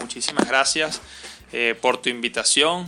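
Noticeable background noise runs under the recording. Over it, a man talks at a fairly slow pace. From Caracas, Venezuela. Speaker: entrepreneur, coworking space founder. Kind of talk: interview conversation.

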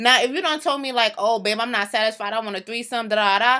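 Loud and bright with a sharp tone, a woman talks at a very fast pace and a fairly high pitch with ordinary pitch variation, on a very clean recording with a silent background. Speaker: podcast co-host. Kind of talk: casual chat.

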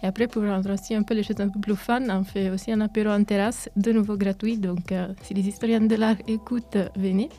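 A woman speaks with a medium pitch and hardly any pauses. Her intonation is monotone and flat. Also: fairly quick pace. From Italy. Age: 20s. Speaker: university student, association president. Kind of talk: radio interview. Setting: studio. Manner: hesitant, many fillers.

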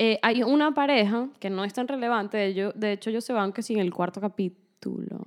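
With hardly any pauses, a woman talks at a moderate pace and fairly high pitch in an unremarkable speaking voice with ordinary pitch variation. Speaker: podcast co-host. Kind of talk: casual chat.

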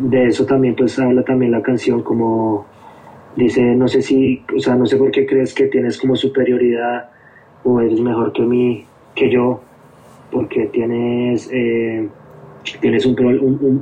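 Noticeable background noise sits behind a man speaking at a medium pitch. His delivery is monotone and flat, at a fairly slow pace. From Colombia, Bogotá. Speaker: hardcore band musician. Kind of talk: casual interview chat.

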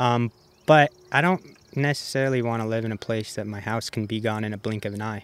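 A plain, everyday voice, this man speaks with an American accent at a medium pitch and a fairly quick pace, with ordinary pitch variation and a dry, close sound with no echo. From Colorado. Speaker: professional disc golfer. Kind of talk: casual interview chat.

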